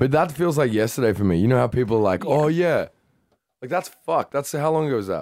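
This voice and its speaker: A man at a very fast pace, with a fairly high pitch and lively intonation. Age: 30s. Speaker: podcast host and DJ. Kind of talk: casual chat.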